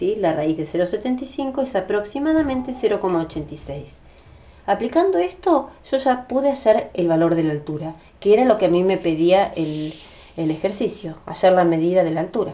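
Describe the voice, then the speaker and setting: This woman speaks at a medium pitch and a fairly quick pace. Her pitch swings very widely. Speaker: math teacher. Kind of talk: tutorial. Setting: family home. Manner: fast.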